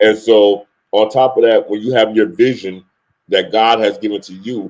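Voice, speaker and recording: Fairly low in pitch, a man with a New York accent keeps fairly even intonation while his loudness swings widely. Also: moderate pace. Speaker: music industry CEO. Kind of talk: interview.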